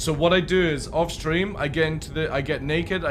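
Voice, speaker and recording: With audible room echo and noticeable background noise, a man speaks at a moderate pace in a fairly high voice. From Scotland, Midlothian near Edinburgh. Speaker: streamer. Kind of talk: live stream chat. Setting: live stream. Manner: casual, chatty.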